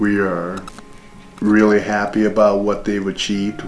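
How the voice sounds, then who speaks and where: A man talks at a fairly slow pace and fairly low pitch, with audible room echo and noticeable background noise. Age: 60s. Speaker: father telling his life story. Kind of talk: interview. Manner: reflective, measured.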